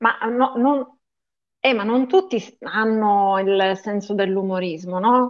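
A woman's fairly high-pitched voice at a very slow pace, with fairly even intonation. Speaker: podcast co-host. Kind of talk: casual interview chat.

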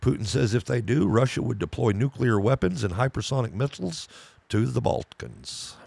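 A man's fairly low voice with vocal fry and lively intonation, very even in loudness, at a moderate pace. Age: 50s. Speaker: podcast co-host. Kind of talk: casual chat.

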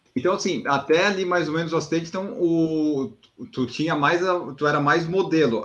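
The speaker has a southern Brazilian accent. The pace is fairly quick. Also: man. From southern Brazil, Florianópolis. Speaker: podcast host. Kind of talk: interview.

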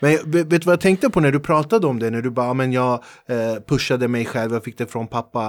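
The speech comes at a very fast pace with hardly any pauses and ordinary pitch variation. It is a very clean recording with a silent background. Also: man, medium pitch for a man. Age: 40s. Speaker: podcast host and comedian. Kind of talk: casual interview. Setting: studio.

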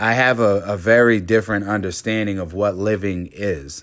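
This man speaks with an American accent at a fairly slow pace. His pitch varies in an ordinary way, and the recording is very clean with a silent background. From Cape Cod, Massachusetts. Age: 40s. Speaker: recovering alcoholic sharing his story. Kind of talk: personal testimony. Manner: halting, many fillers.

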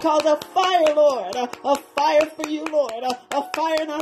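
A woman's high voice at a fairly slow pace, with ordinary pitch variation and music in the background. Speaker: prayer leader. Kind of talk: fervent intercessory prayer. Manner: impassioned, rhythmic, repetitive; urgent, pleading, rising in intensity.

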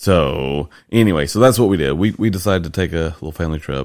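A man with a slight Southern US accent speaks at a moderate pace with vocal fry and ordinary pitch variation. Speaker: podcast host. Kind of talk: casual chat.

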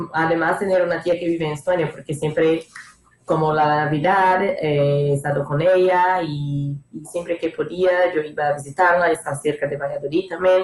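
A woman's fairly low voice, with fairly even intonation, at a moderate pace. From northeastern Brazil, Maceió. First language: Portuguese (speaking Spanish). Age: 20s. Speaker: former exchange student. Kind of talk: casual chat.

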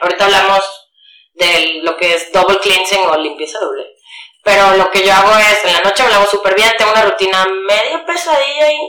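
Audible room echo surrounds this woman's voice. She speaks fairly quickly with lively intonation. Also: medium pitch for a woman. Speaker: podcast co-host. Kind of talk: casual chat.

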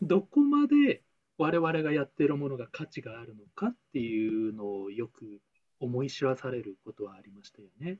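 Using a plain, everyday voice, a man of medium pitch speaks at a moderate pace with lively intonation and big swings in loudness, in a dry, close sound with no echo. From Taiwan. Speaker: former trading company employee. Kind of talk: casual chat.

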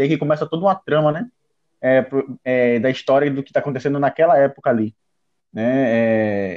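A man speaks at a fairly quick pace with ordinary pitch variation, broken by long, frequent pauses. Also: fairly high pitch for a man. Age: 30s. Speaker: anime podcast guest. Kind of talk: casual chat.

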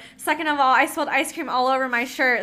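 A woman speaks in a raised, projected voice at a fairly quick pace, her high pitch carrying a bright, sharp and animated tone. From Philippines, then San Diego. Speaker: travel nurse. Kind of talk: casual chat.

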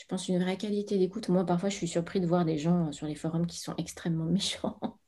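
A woman with a fairly low pitch and a dark, mellow, somewhat breathy tone speaks at a fairly quick pace with fairly even intonation. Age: 40s. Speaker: Bach flower consultant. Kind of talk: interview.

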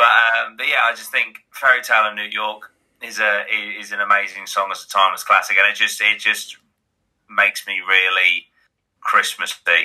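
A man speaks with an East Anglian accent at a moderate pace. His loudness swings widely. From Great Yarmouth, Norfolk, England. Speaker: YouTuber and podcaster. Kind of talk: casual chat.

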